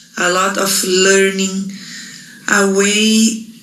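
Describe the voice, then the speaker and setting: Flat, monotone speech in a Portuguese accent comes through audible room echo and noticeable background noise. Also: woman. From Brazil. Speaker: Ayurvedic practitioner. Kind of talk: reading aloud. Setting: pre-recorded video.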